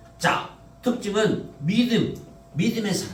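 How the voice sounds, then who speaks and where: Audible room echo follows a man as he speaks. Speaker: pastor. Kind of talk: sermon. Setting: church. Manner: conversational, asks congregation questions.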